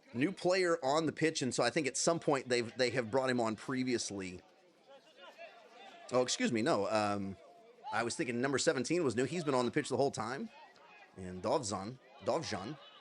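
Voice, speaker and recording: A man of medium pitch speaks at a moderate pace in an animated tone with lively intonation, leaving long, frequent pauses. Crowd noise fills the background. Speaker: football commentator. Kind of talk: live commentary. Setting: livestream.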